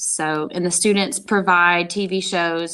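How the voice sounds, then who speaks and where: An American accent shapes this woman's speech. Little sound comes from the quiet background. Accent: Southern US (Tennessee), kept in check. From US South, Tennessee (Memphis). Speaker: film production teacher. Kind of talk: podcast interview.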